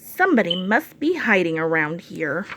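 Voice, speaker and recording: A woman uses a put-on character voice at a medium pitch. Her pace is moderate and her intonation lively. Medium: read story.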